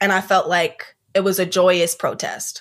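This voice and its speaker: In a very clean recording with a silent background, a woman with an American accent speaks fairly slowly at a medium pitch in a flat, monotone way. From US South, Columbia, South Carolina. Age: 20s. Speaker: poet and MFA student. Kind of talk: casual interview chat. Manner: hesitant, many fillers.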